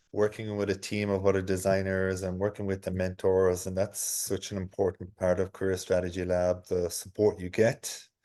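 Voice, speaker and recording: A man's dark, mellow voice in a monotone, flat intonation at a moderate pace, with a quiet background. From Ireland. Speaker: senior product designer. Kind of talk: testimony. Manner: halting, with frequent repeated words.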